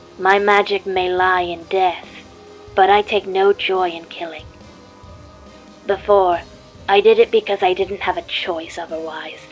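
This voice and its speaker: A woman of medium pitch at a moderate pace, with clear music in the background. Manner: resolute, commanding.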